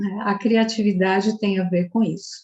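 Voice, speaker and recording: Somewhat breathy, a woman talks at medium pitch and a fairly slow pace. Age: 60s. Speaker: psychologist and social entrepreneur. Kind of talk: festival talk.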